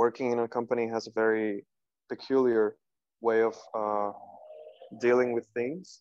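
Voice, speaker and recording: Pausing long and often, a man speaks at a medium pitch in a monotone, flat delivery, the sound dry and close with no echo. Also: moderate pace. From Cuba, Havana. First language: Spanish. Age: 20s. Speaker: contemporary dancer. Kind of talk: interview.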